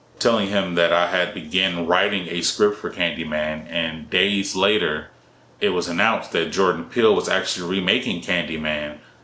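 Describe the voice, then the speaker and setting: In a room with audible echo, a man with a very deep, low pitch speaks at a moderate pace with fairly even intonation. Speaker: independent filmmaker. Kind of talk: solo talking-head explainer video. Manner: monotone.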